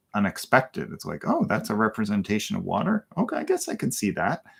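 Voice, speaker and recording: A man speaks quietly with a Canadian accent. The recording is very clean, with a silent background. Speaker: co-host. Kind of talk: casual chat on livestream. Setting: livestream from art studio. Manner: quiet, calm.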